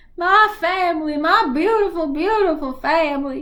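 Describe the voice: A woman does a put-on character voice in a Southern accent. Her pitch is extremely high. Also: moderate pace.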